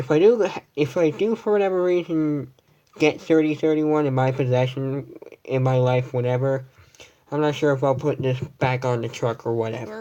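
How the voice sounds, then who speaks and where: A quiet man's fairly high voice with a dark, mellow tone, ordinary pitch variation and a moderate pace. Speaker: vlogger. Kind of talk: casual room tour livestream. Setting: at home, in bedroom. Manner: quiet, hushed.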